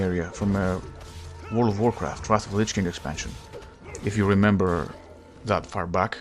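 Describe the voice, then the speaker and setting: Over background music, a man with a fairly low voice talks at a fairly quick pace. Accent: non-native. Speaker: gaming YouTuber. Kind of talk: casual gameplay commentary.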